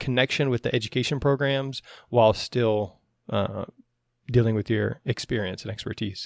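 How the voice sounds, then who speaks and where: A man uses a normal speaking voice at medium pitch and a moderate pace, with fairly even intonation. The recording is very clean with a silent background, and the sound is dry and close with no echo. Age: 40s. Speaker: athletic trainer and podcast host. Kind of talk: casual interview.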